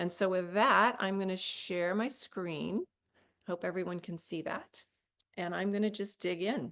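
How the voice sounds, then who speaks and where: Her medium pitch varies in an ordinary way as this woman, with an unremarkable speaking voice, talks at a fairly slow pace. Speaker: nonprofit impact executive presenting. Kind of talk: webinar presentation. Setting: online webinar with screen share.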